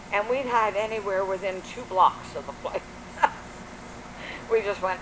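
The speaker has an American accent, and noticeable background noise runs under the voice. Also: woman. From Washington D.C. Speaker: grandmother telling oral history. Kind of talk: oral history interview answer. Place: garden.

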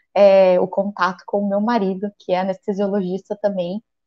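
This is a woman speaking. The background is quiet. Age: 40s. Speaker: physician; guest. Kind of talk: interview. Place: home room. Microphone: earbuds.

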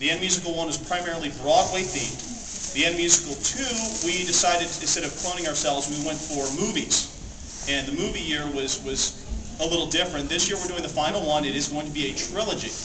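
Amid noticeable background noise, a man with a fairly high pitch speaks with ordinary pitch variation. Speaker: convention panel presenter. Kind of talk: live panel talk to audience. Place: hall. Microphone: camera far.

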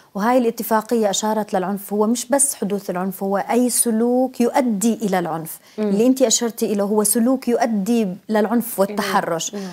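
A woman's fairly high voice at a fairly quick pace, fairly even in intonation, with hardly any pauses. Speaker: trade union official. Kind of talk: formal interview. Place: studio. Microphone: lapel.

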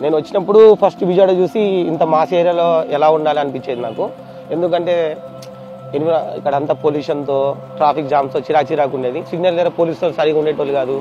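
A man's voice comes through with noticeable background noise in a dry sound with no echo. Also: fairly high pitch for a man, ordinary pitch variation. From Hyderabad, India. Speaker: local resident interviewee. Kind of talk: testimonial interview. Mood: positive, praising. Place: street.

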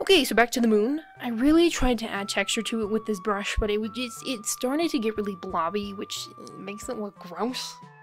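Mumbled, fairly quick speech with hardly any pauses, music playing in the background. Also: woman, fairly high pitch for a woman. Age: young. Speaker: artist. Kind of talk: casual art video voiceover. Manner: mumbling.

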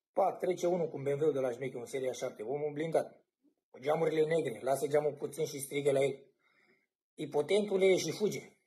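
Against a quiet background, a man with a dark, mellow tone speaks fairly quickly, somewhat breathy, with ordinary pitch variation. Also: fairly high pitch for a man, big swings in loudness. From Romania. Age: 20s. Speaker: cameraman. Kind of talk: casual chat. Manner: animated. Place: home room. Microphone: phone near.

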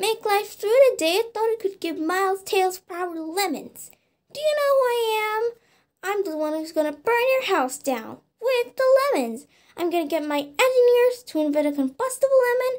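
A put-on character voice at an extremely high pitch swings very widely while keeping a moderate pace. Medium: dub. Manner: angry, ranting.

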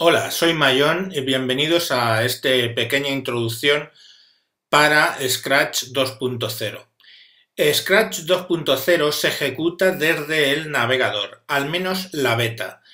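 A man with a Spanish accent, fairly high pitch and a bright, sharp tone, very slow pace with ordinary pitch variation, audible room echo and a quiet background. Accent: Spanish (Spain). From Spain. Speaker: tutorial maker. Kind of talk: video introduction; tutorial. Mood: warm, grateful.

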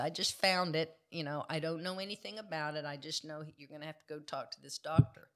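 Against a quiet background, a woman with a Texan accent uses a very deep, low pitch, a bright, sharp tone and ordinary pitch variation. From Texas Panhandle; Texas. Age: 60s. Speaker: jiu-jitsu practitioner; podcast guest. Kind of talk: interview answer. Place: studio. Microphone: studio mic.

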